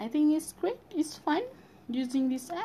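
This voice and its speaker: A woman speaks with a Malaysian accent. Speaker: university student. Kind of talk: casual monologue. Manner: halting.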